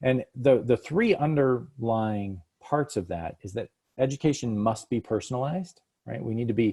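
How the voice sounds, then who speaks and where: A man with an unremarkable speaking voice uses ordinary pitch variation. The background is quiet. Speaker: education company executive presenting a webinar. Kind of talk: webinar presentation.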